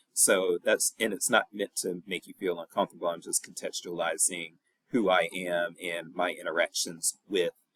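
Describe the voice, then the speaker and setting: A man with a strong Southern US accent at a moderate pace, in a dry, close sound with no echo. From US South, North Carolina and Virginia. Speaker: professor. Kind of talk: recorded lecture. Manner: casual.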